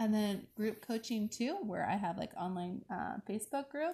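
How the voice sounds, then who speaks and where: With an American accent, a woman speaks at a fairly quick pace in a somewhat breathy, dark, mellow tone, her pitch varying in an ordinary way over a quiet background. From Alaska, US Pacific Northwest. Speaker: life coach. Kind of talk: interview. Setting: outdoors at sunset.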